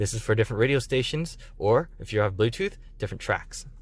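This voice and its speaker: The voice moves at a very fast pace and is somewhat breathy. Its pitch varies in an ordinary way. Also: man. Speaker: car dealership delivery specialist. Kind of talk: tutorial. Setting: inside a car. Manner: casual, conversational.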